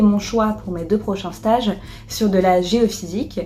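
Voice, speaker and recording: A woman talks at moderate speed and medium pitch, her intonation fairly even, with noticeable background noise around her. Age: 20s. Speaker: engineer and entrepreneur. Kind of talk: testimonial interview. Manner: hesitant, many fillers.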